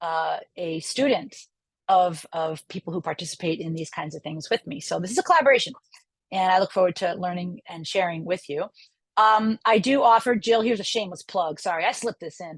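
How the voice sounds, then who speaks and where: With a normal speaking voice and an American accent, a woman at medium pitch talks at a fairly quick pace with ordinary pitch variation, the sound dry and close with no echo. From New York, Long Island. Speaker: professor. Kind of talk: lecture. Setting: video call. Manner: casual, with many fillers.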